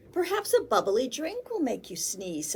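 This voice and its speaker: A woman puts on a character voice, talking high and at a moderate pace. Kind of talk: bedtime story. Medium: read story.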